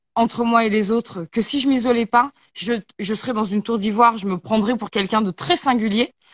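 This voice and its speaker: A somewhat breathy woman speaks at a moderate pace and a fairly high pitch. The sound is dry and close, with no echo. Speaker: talk show host. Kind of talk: casual chat.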